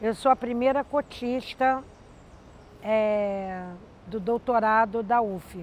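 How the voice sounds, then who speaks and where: A woman talks at a very slow pace with long, frequent pauses. Her pitch is fairly high, with ordinary variation. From Rio de Janeiro, Brazil. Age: 60s. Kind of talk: testimony.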